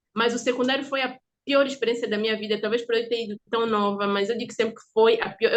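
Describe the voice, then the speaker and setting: An unremarkable speaking voice from a woman, fairly high in pitch, at a fairly quick pace with fairly even intonation. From Angola. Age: 20s. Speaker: podcast guest. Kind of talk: interview.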